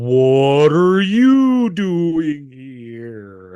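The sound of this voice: The voice is a put-on character. Its pitch falls in the low-to-middle range.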